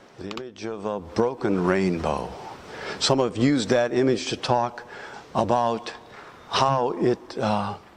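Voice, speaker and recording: Against noticeable background noise, a man at a medium pitch speaks at a fairly slow pace with ordinary pitch variation and long, frequent pauses. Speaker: minister giving a sermon. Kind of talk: extemporaneous sermon to a congregation.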